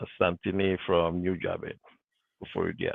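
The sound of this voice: Recorded with a dry, close sound and no echo, a man with a low pitch and vocal fry speaks at a fairly slow pace with little pitch movement.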